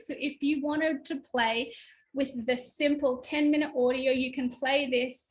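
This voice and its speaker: Speaking with an Australian accent, a woman has a high-pitched voice. She goes at a fairly slow pace. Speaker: spiritual workshop teacher. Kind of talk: online workshop talk.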